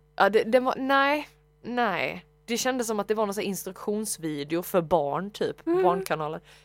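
With music in the background, a woman at a medium pitch speaks at a moderate pace, her pitch swinging very widely. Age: 20s. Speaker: podcast co-host. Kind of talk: casual chat.

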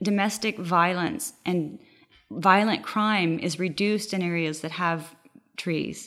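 With an American accent, a woman has an unremarkable speaking voice at a medium pitch, with ordinary pitch variation. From Oklahoma. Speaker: urban forestry nonprofit staff. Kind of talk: interview.

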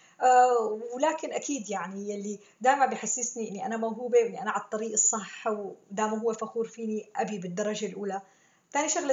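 A woman speaks in a Damascus accent at a fairly high pitch. Her pitch varies in an ordinary way, and her pace is moderate. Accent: Levantine Arabic (Syrian, Damascene). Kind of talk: interview.

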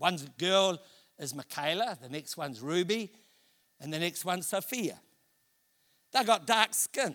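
A high-pitched man with a New Zealand accent, a bright, sharp tone, lively intonation, big swings in loudness and long, frequent pauses at a moderate pace, on a very clean recording with a silent background. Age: 60s. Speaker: pastor. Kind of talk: sermon. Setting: church.

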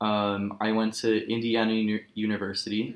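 Heard in a very clean recording against a silent background, a man with an unremarkable speaking voice and a fairly low pitch speaks at a fairly slow pace. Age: 20s. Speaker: podcast guest. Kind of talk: casual chat.

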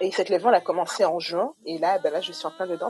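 A woman talks at a fairly quick pace. She has an unremarkable speaking voice. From Guadeloupe. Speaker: data scientist and startup co-founder. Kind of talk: webinar interview.

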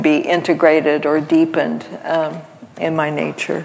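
The speaker goes at a fairly slow pace with noticeable background noise behind them. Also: woman. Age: 70s. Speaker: cultural anthropologist and author. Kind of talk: interview on stage. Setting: stage with audience.

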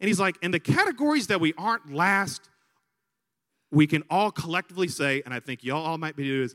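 In a very clean recording with a silent background and a dry, close sound with no echo, a man speaks at a high pitch. His tone is bright, sharp and animated, with ordinary pitch variation and a fairly quick pace. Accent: Alabama. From US South, Montgomery, Alabama. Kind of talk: sermon-style talk to students. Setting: stage with audience on a campus, microphone.

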